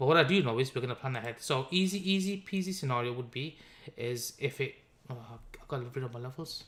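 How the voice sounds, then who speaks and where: A man's somewhat breathy, fairly high voice with ordinary pitch variation. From Birmingham, England. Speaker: crypto trader and live stream host. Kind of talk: live stream trading analysis. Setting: live stream. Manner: casual, conversational.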